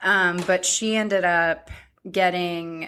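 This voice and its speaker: In a very clean recording with a silent background, a woman with an American accent uses a bright, sharp tone at a medium pitch and a very slow pace. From US, Indian immigrant parents. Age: 30s. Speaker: podcast co-host. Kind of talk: casual chat.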